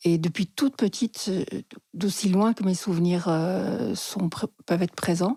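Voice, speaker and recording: In a dry, close sound with no echo, a woman speaks at a fairly slow pace with a medium pitch, ordinary pitch variation and a dark, mellow, somewhat breathy tone. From France (Lozère), partly Switzerland. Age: 60s. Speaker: psychotherapist. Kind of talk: interview storytelling.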